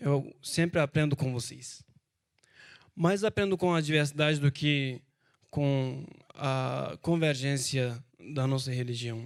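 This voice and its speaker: At a very slow pace, the speaker uses a Turkish accent and leaves long, frequent pauses. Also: man, fairly high pitch for a man, ordinary pitch variation. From Turkey. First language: Turkish (speaking Portuguese). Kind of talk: panel talk. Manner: halting.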